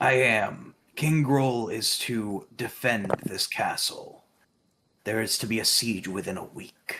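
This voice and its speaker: A man puts on a character voice, talking at a medium pitch and a fairly slow rate. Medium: actual play. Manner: low, conspiratorial.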